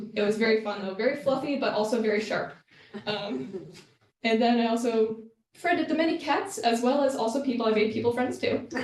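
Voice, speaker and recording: With an American accent, a woman talks at a fairly quick pace with ordinary pitch variation amid audible room echo. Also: fairly high pitch for a woman. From US Northeast, Massachusetts. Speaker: Fulbright student fellow presenting research. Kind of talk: presentation. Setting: room with live audience. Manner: fast; hesitant, many fillers.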